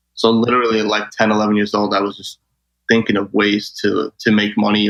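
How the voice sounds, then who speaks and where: A man with a New York accent talks at a very fast clip, his fairly low voice carrying a bright, sharp tone. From New York City (Brooklyn). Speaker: travel sales manager. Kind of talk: interview.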